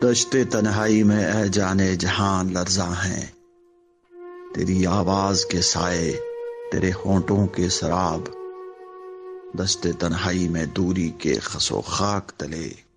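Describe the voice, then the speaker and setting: Music plays in the background as a man speaks. His pitch is very deep and low, and his intonation is fairly even. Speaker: radio jockey, poetry reciter. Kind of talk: poetry reading.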